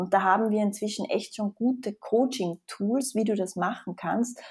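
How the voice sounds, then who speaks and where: At a moderate pace, a woman with a slight Austrian accent speaks in a dark, mellow, somewhat breathy voice of medium pitch, captured in a very clean recording with a silent background. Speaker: psychologist. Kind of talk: interview.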